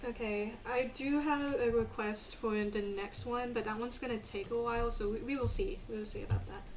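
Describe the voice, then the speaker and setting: Someone with an American accent talks at a fairly quick pace, hardly pausing, with ordinary pitch variation. The recording has noticeable background noise and audible room echo. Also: woman, fairly high pitch for a woman. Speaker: streamer drawing live. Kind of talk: casual live stream chat while drawing. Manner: hesitant, many fillers.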